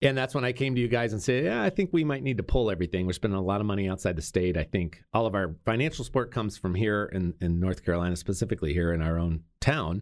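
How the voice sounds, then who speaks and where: A man's fairly low voice at a very fast pace with lively intonation, on a very clean recording with a silent background. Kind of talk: interview. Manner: loud.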